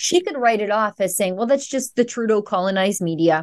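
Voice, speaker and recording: A woman with a western Canadian accent uses a medium pitch and lively intonation at a moderate pace against a quiet background. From Alberta, Canada. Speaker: journalist. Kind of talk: interview.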